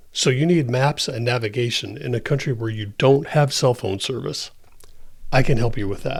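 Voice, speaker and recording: This man talks at a moderate pace with a medium pitch. His voice is somewhat breathy, with ordinary pitch variation. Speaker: tech tutorial creator. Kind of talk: tutorial narration.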